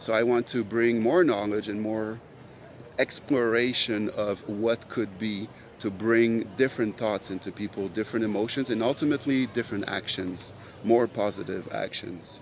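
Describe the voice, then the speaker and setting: This speaker has a Quebec accent, a moderate pace and fairly even intonation. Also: man, medium pitch for a man. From Quebec, Montreal. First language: French. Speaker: podcast host. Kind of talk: solo monologue. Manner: halting, many fillers.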